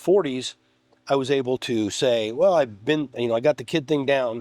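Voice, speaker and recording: A man with a medium-pitched, ordinary speaking voice talks at a fairly quick pace with lively intonation. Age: 60s. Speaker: guest on coaching podcast. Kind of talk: casual chat.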